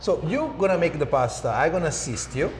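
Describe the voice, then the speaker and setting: A man with an Italian accent speaks at a moderate pace, with audible room echo and noticeable background noise. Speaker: chef instructor. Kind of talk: cooking tutorial.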